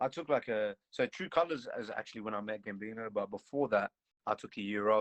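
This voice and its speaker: A man talks at a fairly quick pace in a fairly low pitch with ordinary pitch variation and big swings in loudness. The sound is dry and close with no echo. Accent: American. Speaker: rapper. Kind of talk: casual chat.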